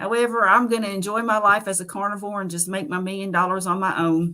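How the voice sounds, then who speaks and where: The speaker has a Southern US accent. The pitch variation is ordinary. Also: woman. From US South, Nashville, Tennessee. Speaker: carnivore diet content creator. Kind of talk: interview. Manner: animated.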